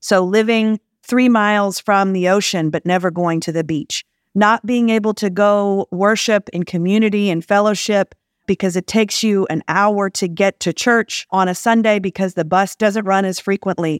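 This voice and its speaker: A woman's medium-pitched voice, an ordinary speaking voice, at a moderate pace with fairly even intonation, dry and close with no echo on a very clean recording with a silent background. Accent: American. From US South, Jackson, Mississippi. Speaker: public transit executive. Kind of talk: interview.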